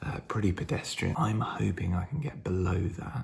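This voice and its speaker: Man with a British accent, fairly low-pitched and somewhat breathy. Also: very clean recording, silent background. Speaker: vlogger, amateur runner. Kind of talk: casual vlog.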